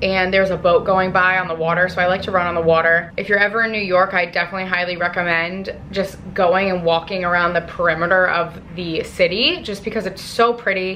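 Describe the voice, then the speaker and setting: A woman's monotone, flat delivery with hardly any pauses, over noticeable background noise. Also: medium pitch for a woman, fairly quick pace. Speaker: lifestyle vlogger. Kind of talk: casual vlog talk to camera. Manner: casual, filler-heavy.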